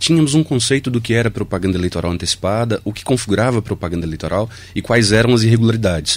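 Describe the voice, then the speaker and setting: Speaking at a very fast pace with hardly any pauses, the voice shows ordinary pitch variation over noticeable background noise. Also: man, medium pitch for a man. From Brazil, Minas Gerais. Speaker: electoral office chief. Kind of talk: radio interview.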